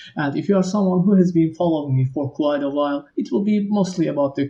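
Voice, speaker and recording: Speaking at a fairly quick pace, a man has a non-native accent and a dark, mellow tone. His pitch variation is ordinary. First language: not English. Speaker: game engine developer. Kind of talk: tutorial.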